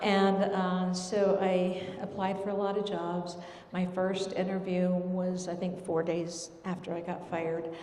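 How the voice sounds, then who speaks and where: Noticeable background noise and audible room echo fill the recording. Through them, a woman talks at a medium pitch. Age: 60s. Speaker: choir singer telling her life story. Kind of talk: personal testimony to a group. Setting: church hall before choir rehearsal. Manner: halting, many fillers and restarts.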